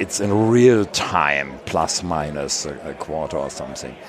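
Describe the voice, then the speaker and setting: Through noticeable background noise comes a man's very deep, low voice with a German accent and lively intonation. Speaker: podcast co-host. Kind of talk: casual chat. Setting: booth at a conference.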